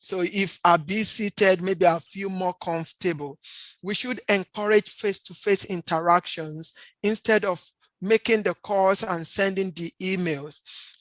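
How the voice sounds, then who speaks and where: Speaking in a plain, everyday voice, a woman at medium pitch keeps a fairly slow pace and fairly even intonation, with a dry, close sound with no echo. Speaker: health presenter. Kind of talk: presentation. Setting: standing at a presentation.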